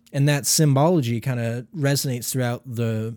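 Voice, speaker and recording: With a normal speaking voice, a man speaks at a medium pitch and a fairly slow pace, his intonation fairly even, in a very clean recording with a silent background. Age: 20s. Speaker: podcast co-host. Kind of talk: casual chat.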